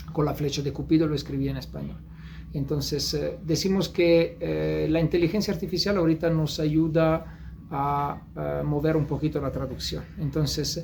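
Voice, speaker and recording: A man with an Italian accent speaks at a moderate pace. There is audible room echo. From Italy. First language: Italian (speaking Spanish). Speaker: novelist. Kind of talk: interview. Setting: bookstore. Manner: halting.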